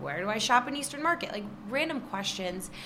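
With a Michigan accent, a woman speaks in an animated tone with very wide pitch swings, amid noticeable background noise and audible room echo. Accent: Midwestern American (Michigan). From Michigan, Detroit area (Trenton). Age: 20s. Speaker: social media influencer and magazine contributing editor. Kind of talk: casual interview chat. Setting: recording live in an apartment building.

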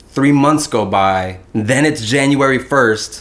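In an American accent, the speaker talks with ordinary pitch variation over noticeable background noise. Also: man. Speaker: actor and artist. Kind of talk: casual chat. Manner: animated.

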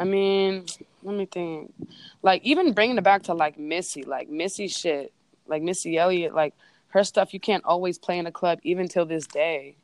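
A woman with a Bay Area accent at a moderate pace, ordinary pitch variation, and a dry, close sound with no echo. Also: fairly low pitch for a woman. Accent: Bay Area Californian. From East Bay, California. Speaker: DJ and producer. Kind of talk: casual interview. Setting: phone call. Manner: casual.

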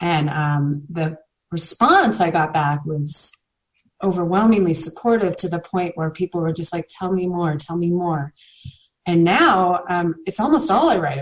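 With ordinary pitch variation and a moderate pace, this is a normal speaking voice. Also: woman, fairly low pitch for a woman. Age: 40s. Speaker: mom blogger in recovery from alcohol. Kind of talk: interview about personal recovery. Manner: many filler words (um).

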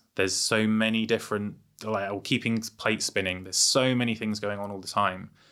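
A man with an English accent, fairly low-pitched, bright and sharp in tone, monotone and flat, at a fairly quick pace, on a very clean recording with a silent background. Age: 40s. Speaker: entrepreneur. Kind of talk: casual chat. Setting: studio.

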